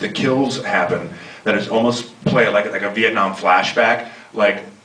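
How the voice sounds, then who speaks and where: Amid noticeable background noise and audible room echo, a man talks at a moderate pace and medium pitch with ordinary pitch variation. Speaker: actor. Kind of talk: panel Q&A. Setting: stage with audience. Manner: halting, stuttering.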